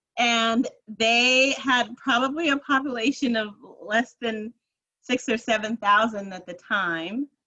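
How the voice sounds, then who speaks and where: Speaking in a plain, everyday voice with an American accent, a woman talks at a fairly high pitch and a fairly slow pace. Her pitch variation is ordinary, while her loudness swings widely. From New Jersey. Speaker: nonprofit program executive. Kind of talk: interview.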